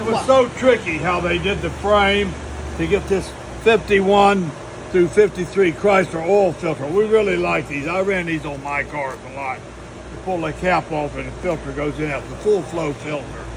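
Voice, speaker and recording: Amid noticeable background noise, a man speaks at a high pitch and moderate pace with ordinary pitch variation and big swings in loudness. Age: 80s+. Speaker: retired drag racer. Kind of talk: shop tour explanation.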